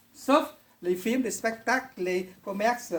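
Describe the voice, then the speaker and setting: A woman at a very slow pace, with lively intonation. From Vietnam. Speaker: witness speaking to school pupils. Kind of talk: testimony answering pupils' questions. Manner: hesitant, many fillers.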